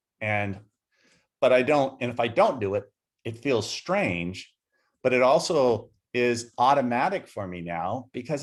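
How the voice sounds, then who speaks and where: Vocal fry in a man's voice, pitch swinging very widely, captured on a very clean recording against a silent background. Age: 60s. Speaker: entrepreneur. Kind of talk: interview.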